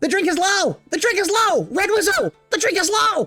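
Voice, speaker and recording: Faint music plays behind a squeaky, put-on character voice pitched extremely high and delivered at a moderate pace. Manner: shrill, shouting, frantic.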